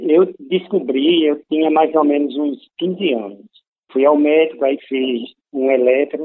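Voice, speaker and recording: Very slowly, a man speaks with a fairly high pitch. His pitch variation is ordinary. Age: 50s. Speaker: heart transplant patient. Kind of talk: testimony.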